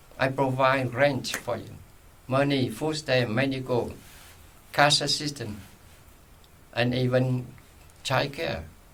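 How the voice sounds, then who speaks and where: With noticeable background noise and audible room echo, a man of medium pitch speaks at a very slow pace, using long, frequent pauses and fairly even intonation. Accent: non-native. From Vietnam, Saigon. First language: Vietnamese. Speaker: retired journalist and social worker. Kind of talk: oral history interview. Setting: library recording room.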